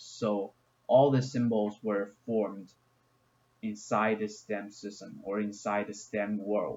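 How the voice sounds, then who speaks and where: With a Chinese accent, a man speaks in a fairly low pitch and a monotone, flat intonation. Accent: non-native English, Chinese. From China. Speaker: gaming YouTuber. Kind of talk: video game explainer. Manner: halting, many fillers.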